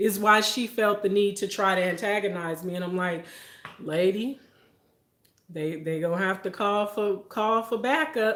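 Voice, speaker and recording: A woman speaks at a medium pitch with ordinary pitch variation. Her tone is animated. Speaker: food reviewer and livestreamer. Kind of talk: casual livestream chat.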